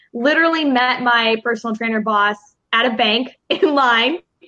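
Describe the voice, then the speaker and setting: Her accent is American. This woman's pitch sits fairly high. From Chicago. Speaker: confidence mentor. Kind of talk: interview.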